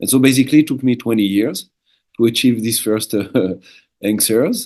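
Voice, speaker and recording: Speaking with a French accent, a man uses a medium pitch. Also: ordinary pitch variation, moderate pace. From southern France, French Alps. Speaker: shaman, former monk. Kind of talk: interview.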